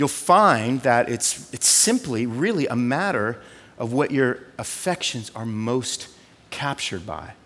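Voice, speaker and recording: A man with a West Coast US accent talks at medium pitch with an animated tone. His intonation is lively and his pace fairly slow. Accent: General American (West Coast). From Southern California. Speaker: pastor. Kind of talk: sermon.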